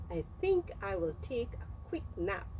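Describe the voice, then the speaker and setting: Over clear background noise, a woman uses a put-on character voice at a fairly slow pace. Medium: read story. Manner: mocking, laughing.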